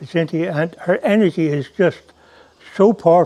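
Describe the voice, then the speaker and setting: A man's high-pitched voice with a dark, mellow tone, an Irish accent, lively intonation and a moderate pace. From Ireland. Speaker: narrator and ashram visitor. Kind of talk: casual testimony; scripted narration. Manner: mumbling at times; halting, with fillers.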